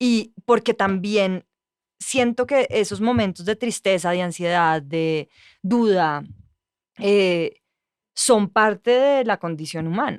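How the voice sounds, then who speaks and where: A woman at a medium pitch speaks very slowly with long, frequent pauses and lively intonation, on a very clean recording with a silent background and a dry, close sound free of echo. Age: young. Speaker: journalist. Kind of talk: casual chat.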